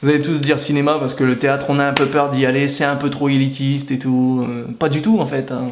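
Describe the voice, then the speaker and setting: With a northern French accent, a man talks at a fairly quick pace in a monotone, flat way with hardly any pauses, amid noticeable background noise and audible room echo. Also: fairly high pitch for a man. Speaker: YouTuber. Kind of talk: comedic vlog monologue.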